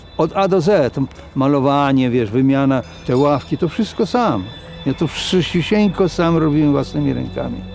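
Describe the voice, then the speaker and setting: A man's fairly high voice with very wide pitch swings and very even loudness, at a moderate pace over music in the background. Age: 70s. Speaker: retiree. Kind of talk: documentary interview.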